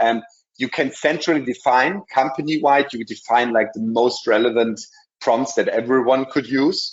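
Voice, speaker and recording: Against a quiet background, the voice holds a moderate pace and shows ordinary pitch variation. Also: man. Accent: German. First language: German. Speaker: software presenter; presenter. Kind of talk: webinar product demo. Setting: online webinar. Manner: many filler sounds. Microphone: video call.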